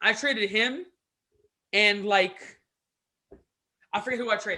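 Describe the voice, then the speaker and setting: Raised and projected, a man's high voice carries a bright, sharp, animated tone with ordinary pitch variation. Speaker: basketball podcast co-host. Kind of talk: casual chat. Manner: animated, excitable; stumbles over words today.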